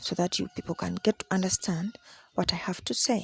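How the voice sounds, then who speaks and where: In a Ugandan accent, a woman speaks at a medium pitch and a moderate pace. Her voice is somewhat breathy, with a dry, close sound and no echo. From Uganda, Buganda region. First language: Luganda. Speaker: traditional spiritual teacher. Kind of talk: teaching session.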